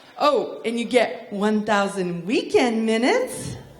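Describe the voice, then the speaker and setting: Lively intonation comes through in an American accent over noticeable background noise. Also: woman. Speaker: stand-up comedian. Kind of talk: stand-up comedy performance to a live audience. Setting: theater with live audience. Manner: comedic, conversational.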